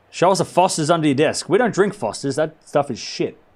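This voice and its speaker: Speaking at a fairly quick pace, a man with an Australian accent uses ordinary pitch variation. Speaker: tennis live-stream commentator. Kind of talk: live play-by-play commentary. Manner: casual, joking.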